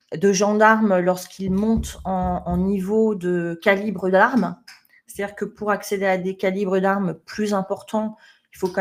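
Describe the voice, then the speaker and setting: A woman talks at a moderate pace and medium pitch with fairly even intonation, in an ordinary speaking voice. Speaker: management trainer. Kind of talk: webinar presentation. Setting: online webinar.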